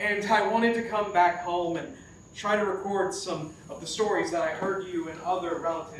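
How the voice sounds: An ordinary amount of pitch variation runs through this natural reading voice.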